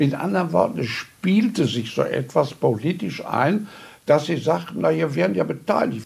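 A man's moderately paced speech swings very widely in pitch and carries vocal fry. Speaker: contemporary witness, politician. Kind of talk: interview.

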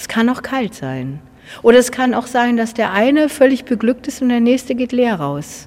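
A woman's high-pitched voice with big swings in loudness. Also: ordinary pitch variation, moderate pace. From Gadebusch, Mecklenburg, northern Germany. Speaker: church musician. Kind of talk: interview.

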